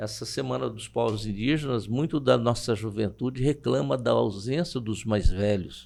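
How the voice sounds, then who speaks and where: On a very clean recording with a silent background, a man with a fairly low pitch and vocal fry talks at a moderate pace with hardly any pauses, his pitch swinging very widely. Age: 70s. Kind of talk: interview. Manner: halting.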